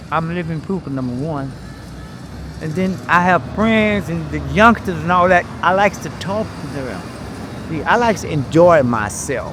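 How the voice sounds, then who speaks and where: A man with a high pitch speaks at a fairly slow pace with lively intonation. Noticeable background noise runs underneath. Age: 80s+. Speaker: passerby interviewee. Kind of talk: street interview.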